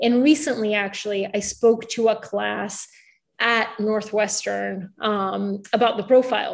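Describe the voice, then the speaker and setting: A woman speaks in a plain, everyday voice at a fairly high pitch. Her pace is fairly slow and her intonation fairly even. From Bulgaria, moved to the US at age eight. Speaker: newsletter founder and writer, former reporter. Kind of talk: interview. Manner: casual with many fillers.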